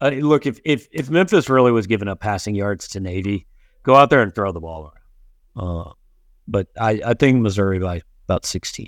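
With an unremarkable speaking voice, a man of fairly low pitch talks at a fairly quick pace with lively intonation, in a dry, close sound with no echo on a very clean recording with a silent background. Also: big swings in loudness. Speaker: sports podcast host. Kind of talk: casual sports talk.

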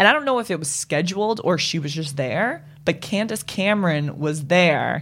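A woman's fairly low-pitched, normal speaking voice at a moderate pace, lively intonation and hardly any pauses. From Boston. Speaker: podcast guest. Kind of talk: casual chat.

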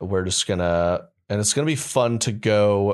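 The man has a fairly low pitch and ordinary pitch variation. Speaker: podcast host. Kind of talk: casual chat. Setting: studio. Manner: mumbling.

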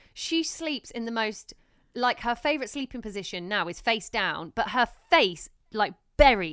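A woman with a fairly high pitch uses an unremarkable speaking voice and lively intonation at a moderate pace. The recording is very clean, with a silent background. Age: 30s. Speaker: podcast host and new mum. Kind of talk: casual chat. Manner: chatty, laughs often.

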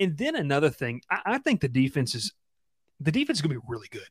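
Speaking in a Southern US accent, a man races along at a very fast pace. The sound is dry and close, with no echo. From Georgia, Columbus. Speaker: college football reporter. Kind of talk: casual chat.

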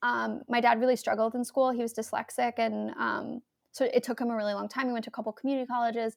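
In an American accent, a woman with a fairly high pitch talks at a very fast pace with monotone, flat intonation. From New York City, Manhattan. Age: 20s. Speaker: playwright. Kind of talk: interview. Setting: video or remote call.

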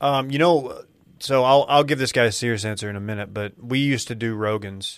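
With an American accent, a man talks at a fairly quick pace in an unremarkable speaking voice, medium in pitch with ordinary pitch variation. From North Texas. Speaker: podcast host and media co-founder. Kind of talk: casual chat.

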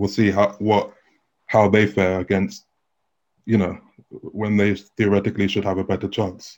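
A man with a London accent and a fairly low pitch, a moderate pace broken by long, frequent pauses, and monotone, flat intonation. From London, England. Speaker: tennis journalist. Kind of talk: interview.

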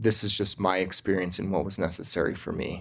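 Over a quiet background, a man with an American accent talks at a fairly low pitch. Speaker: insurance agent. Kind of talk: testimony.

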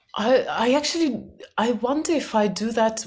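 This speaker has an Eastern European accent and lively intonation. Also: woman. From former Soviet Union. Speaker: company cofounder and self-help author. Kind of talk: podcast interview. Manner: laughs often.

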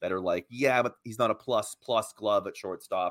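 A plain, everyday voice from a man at medium pitch, fairly quick in pace, with a dry, close sound and no echo. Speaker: baseball blogger, podcast guest. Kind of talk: casual sports chat, analysis.

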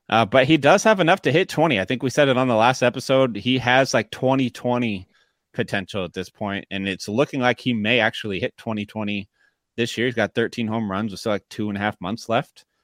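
On a very clean recording with a silent background and a dry, close sound with no echo, a man with a plain, everyday voice speaks at a medium pitch and a fairly quick pace. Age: 30s. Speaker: fantasy baseball podcast host. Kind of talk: casual chat.

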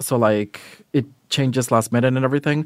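At a fairly quick pace and with ordinary pitch variation, a plain, everyday voice comes through a very clean recording with a silent background. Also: man. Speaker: casting director. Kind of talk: casual interview chat.

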